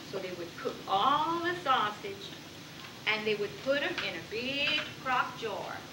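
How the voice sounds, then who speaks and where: Delivered at a fairly slow pace with a Cajun accent, the voice makes very wide pitch swings amid audible room echo and noticeable background noise. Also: woman, high pitch for a woman. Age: 60s. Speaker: storyteller. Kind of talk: storytelling to children. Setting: stage with audience.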